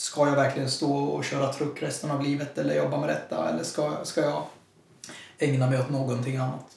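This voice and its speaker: Noticeable background noise and audible room echo around a man's fairly quick delivery. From Sweden, Jönköping. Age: 20s. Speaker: lay preacher. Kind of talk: casual interview.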